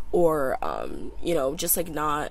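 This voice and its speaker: Noticeable background noise is heard as a woman talks with an American accent. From US, out of state suburbs. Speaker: pre-med college student. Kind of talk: casual interview chat. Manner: filler-heavy, hesitant.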